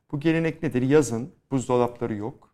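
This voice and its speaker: With fairly even intonation and a moderate pace, this is an ordinary speaking voice. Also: man. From Istanbul, Turkey. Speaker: Greek Orthodox community representative. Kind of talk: interview.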